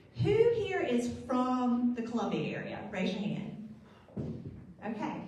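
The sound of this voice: Strong room echo surrounds a woman's fairly high voice with a slightly mellow tone. She talks at a fairly slow pace with very wide pitch swings.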